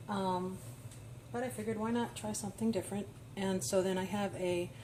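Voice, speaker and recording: Medium-pitched woman with an American accent amid noticeable background noise. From New York. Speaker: home cooking vlogger. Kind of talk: casual cooking tutorial. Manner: casual with frequent fillers.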